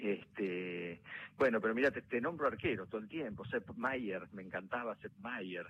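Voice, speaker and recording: This man speaks with a Rioplatense accent, at a fairly slow pace and a fairly low pitch. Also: ordinary pitch variation. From Argentina, La Plata. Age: young. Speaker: actor. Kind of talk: interview. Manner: halting.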